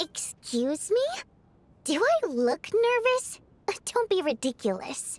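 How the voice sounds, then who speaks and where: A woman's put-on character voice, extremely high-pitched with very wide pitch swings, fairly slow with long, frequent pauses. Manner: defensive, denying being nervous.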